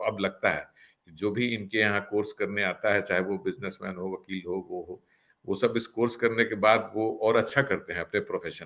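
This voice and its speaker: A man speaks against a quiet background. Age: 60s. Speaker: retired civil servant and lawyer. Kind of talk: testimonial interview. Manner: hesitant fillers, mixes English.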